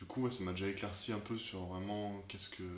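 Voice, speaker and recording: The audible room echo carries speech with fairly even intonation. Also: man. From France, Clermont-Ferrand. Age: 20s. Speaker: student, festival volunteer guide. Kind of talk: interview. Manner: halting, repeats words.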